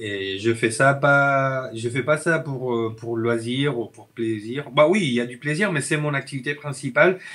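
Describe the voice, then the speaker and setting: Speaking at a fairly slow pace with hardly any pauses, a man has a bright, sharp tone and big swings in loudness. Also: medium pitch for a man, ordinary pitch variation. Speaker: filmmaker and video editor. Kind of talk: casual interview chat. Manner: halting, many hesitations.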